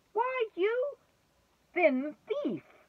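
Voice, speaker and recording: A woman puts on a squeaky character voice at an extremely high pitch, swinging very widely up and down. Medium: read story. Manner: jeering.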